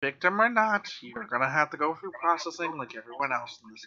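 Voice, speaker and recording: In a put-on character voice, a man rattles along at a very fast pace with a fairly high pitch. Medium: actual play. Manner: stern, officious.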